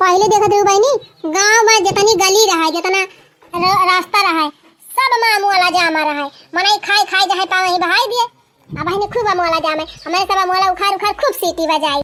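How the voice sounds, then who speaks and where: Using a squeaky, cartoonish character voice, a woman talks at an extremely high pitch and a fairly quick pace. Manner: chatty, folksy.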